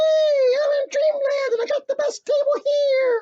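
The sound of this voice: A put-on character voice at extremely high pitch moves along at a moderate pace.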